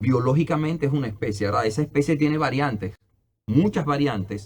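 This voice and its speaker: Fairly quick and somewhat breathy, a man's voice sits at a fairly high pitch with lively intonation. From Dominican Republic. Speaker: anthropologist and historian. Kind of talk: interview.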